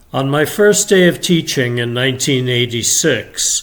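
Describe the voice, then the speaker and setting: A man's voice at medium pitch, fairly slow pace, and ordinary pitch variation. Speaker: retired teacher. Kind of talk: storytelling read-aloud. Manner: chill, expressive.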